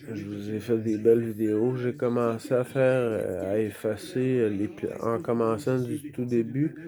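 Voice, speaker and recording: Someone speaks very slowly in a Quebec accent. Background noise is noticeable. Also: man. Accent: Québécois French. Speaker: vlogger. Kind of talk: casual vlog monologue. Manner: loud; halting, many hesitations.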